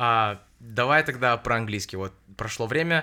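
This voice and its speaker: Recorded very cleanly against a silent background, a man speaks at a medium pitch with ordinary pitch variation and a bright, sharp tone. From Russia. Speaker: podcast host. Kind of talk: casual chat.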